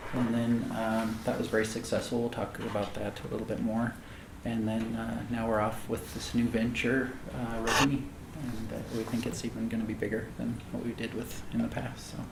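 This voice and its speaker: Against noticeable background noise and audible room echo, a man with an American accent and medium pitch talks at a moderate pace in a flat, monotone way. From rural north central Montana. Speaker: tech company CEO and founder. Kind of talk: fireside chat interview.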